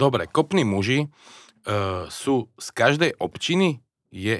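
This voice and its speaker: At a very slow pace, a man of medium pitch speaks with long, frequent pauses and very wide pitch swings. The sound is dry and close, with no echo. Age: 40s. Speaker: podcast host. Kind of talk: interview.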